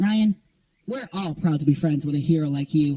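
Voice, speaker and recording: A man performs a cartoonish character voice at a fairly high pitch. He keeps a moderate pace. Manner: wry, dry.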